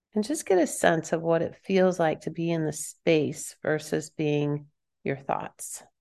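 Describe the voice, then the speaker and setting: Against a quiet background, a woman with an American accent speaks in an unremarkable speaking voice, fairly low in pitch, fairly slow, and with fairly even intonation. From Kansas. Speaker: empowerment coach and author. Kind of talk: guided meditation, eyes-closed centering exercise for listeners; casual interview chat. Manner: slow, calm, soothing instruction with pauses; warm, laughing, filler-heavy conversation.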